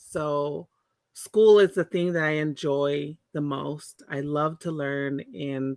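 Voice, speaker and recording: The sound is dry and close, with no echo. A woman speaks at a very slow pace with a very deep, low pitch and ordinary pitch variation. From Monterey, California (born in Tonga). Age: 40s. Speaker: Pacific Islander community advocate. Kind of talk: interview conversation.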